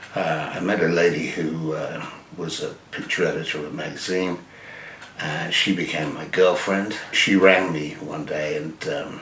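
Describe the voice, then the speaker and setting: A man with an English accent speaks at a fairly slow pace in a very deep, low pitch with fairly even intonation. Audible room echo and noticeable background noise fill the recording. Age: 70s. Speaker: photographer. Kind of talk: personal storytelling. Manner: halting, many fillers.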